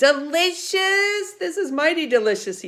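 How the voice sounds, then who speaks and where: A woman does a squeaky, put-on character voice at an extremely high pitch. Her pitch swings very widely at a moderate pace. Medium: read story. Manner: sweet-talking, eager.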